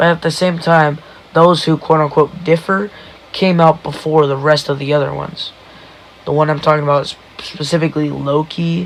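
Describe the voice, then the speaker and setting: With noticeable background noise behind him, a man speaks at a fairly quick pace in a fairly high pitch with monotone, flat intonation. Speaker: solo podcaster. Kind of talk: casual monologue.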